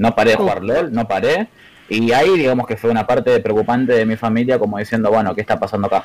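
A man talks at a very fast pace with very even loudness and ordinary pitch variation. Noticeable background noise sits behind him. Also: medium pitch for a man. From Argentina, Buenos Aires western suburbs. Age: 20s. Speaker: competitive gamer. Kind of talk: casual interview chat.

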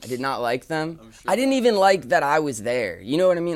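A man talks with lively intonation. The recording is very clean and the background silent. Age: 20s. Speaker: artist and clothing designer. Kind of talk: casual chat. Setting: in person, passing a mic around.

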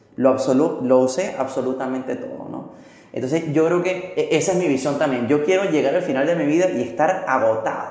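Amid audible room echo and noticeable background noise, a man with fairly high pitch and ordinary pitch variation speaks at a moderate pace. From Venezuela. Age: 30s. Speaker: motivational speaker and trainer. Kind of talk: interview. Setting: coworking space.

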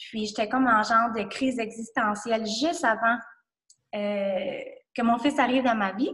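This is a woman with a fairly high-pitched voice. She talks at a fairly slow pace. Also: ordinary pitch variation. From New Brunswick. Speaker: entrepreneur. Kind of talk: casual interview. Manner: halting.

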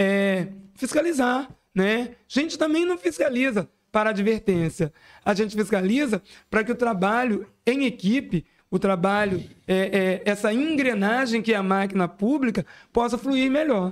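High-pitched and lively in intonation, a man speaks at a moderate pace with very even loudness. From Itaperuna, Rio de Janeiro state, Brazil. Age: 40s. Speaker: city councillor. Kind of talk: casual interview. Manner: hesitant, filler-heavy.

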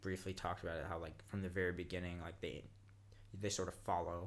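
Very deep, low male voice with a Californian accent, fairly quick and fairly even in intonation. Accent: Californian American. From Los Angeles (Inglewood). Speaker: rock climber and traveller. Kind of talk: casual chat.

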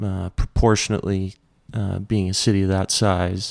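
A man with a western Canadian accent speaks at a moderate pace in a very clean recording with a silent background and a dry, close sound with no echo. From Alberta, Canada (Lethbridge). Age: 30s. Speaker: pedal steel player and singer-songwriter. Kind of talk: casual interview chat.

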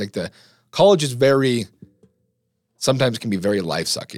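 Lively intonation and vocal fry mark a man speaking at a fairly quick pace in a very clean recording with a silent background. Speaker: podcast host, college student. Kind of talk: casual chat.

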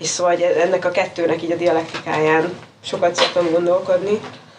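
A woman with a fairly low pitch speaks at a moderate pace. There is noticeable background noise. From Hungary. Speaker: writer and cultural anthropologist. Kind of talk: interview conversation.

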